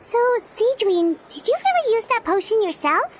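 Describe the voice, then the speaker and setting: Over clear background noise, a woman puts on a squeaky character voice at an extremely high pitch, with lively intonation and a moderate pace. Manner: surprised, curious.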